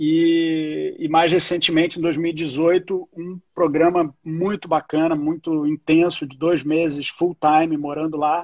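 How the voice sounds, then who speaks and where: A man with a Carioca accent speaks very slowly in a fairly high, flat monotone, over a quiet background. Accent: carioca Brazilian Portuguese. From Rio de Janeiro, Brazil. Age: 40s. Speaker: entertainment business executive. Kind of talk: casual interview.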